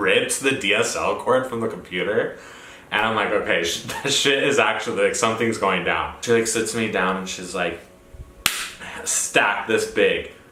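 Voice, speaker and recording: Audible room echo and noticeable background noise surround a man speaking with an American accent at a moderate pace. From New Mexico, Roswell. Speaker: vlogger. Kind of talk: personal storytelling. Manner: flamboyant; animated.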